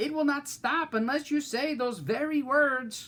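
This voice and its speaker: Someone uses a put-on character voice with a high pitch at a moderate pace. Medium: read story.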